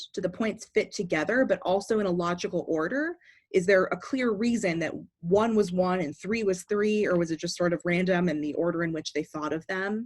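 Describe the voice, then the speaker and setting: A woman's unremarkable speaking voice at medium pitch, fairly quick pace, against a quiet background. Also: ordinary pitch variation. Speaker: speech and debate coach. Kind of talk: tutorial.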